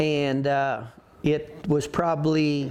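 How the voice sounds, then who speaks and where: A man speaks with a rural western US accent. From Colorado. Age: 60s. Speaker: rodeo roper. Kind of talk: interview. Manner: halting.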